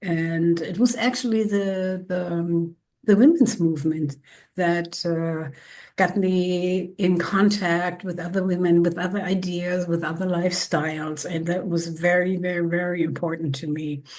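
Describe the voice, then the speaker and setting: Fairly slow, fairly low-pitched female speech in a German accent, with fairly even intonation and a quiet background. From northern Germany, near the Baltic Sea. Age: 70s. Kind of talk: interview. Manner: halting.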